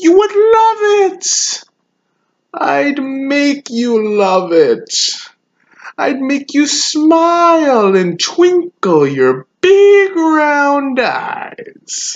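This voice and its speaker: Put-on character voice, high and very slow, with very wide pitch swings. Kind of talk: acting monologue. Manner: menacing, taunting.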